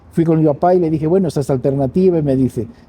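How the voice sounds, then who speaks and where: A man talks in a somewhat breathy voice. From Mexico City, raised in Spanish family. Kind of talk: interview.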